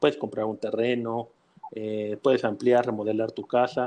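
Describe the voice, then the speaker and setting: A man's dark, mellow tone with monotone, flat intonation. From Mexico City. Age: 30s. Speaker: mortgage executive. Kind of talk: interview.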